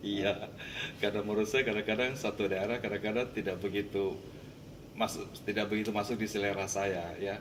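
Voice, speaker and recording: A man with a strong Makassar accent speaks at a fairly quick pace and a fairly low pitch. His intonation is monotone and flat, and his loudness very even. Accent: Makassar accent, still strong. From Makassar, Indonesia. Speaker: Indonesian-Chinese expatriate, community figure. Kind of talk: interview.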